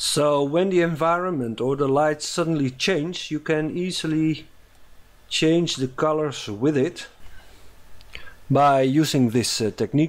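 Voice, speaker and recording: On a very clean recording with a silent background, a man with a Dutch accent and a fairly high pitch speaks at a fairly slow pace, taking long, frequent pauses. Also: ordinary pitch variation. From Netherlands. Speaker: animation tutorial maker. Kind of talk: tutorial. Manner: halting, many fillers.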